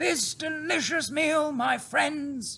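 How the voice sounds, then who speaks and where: A put-on character voice from a man, pitched extremely high. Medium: read story. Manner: confident, warm.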